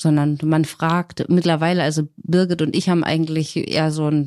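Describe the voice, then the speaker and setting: On a very clean recording with a silent background and a dry, close sound with no echo, a woman speaks in a very deep, low pitch with monotone, flat intonation. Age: 30s. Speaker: single mother in shared house. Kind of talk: casual interview.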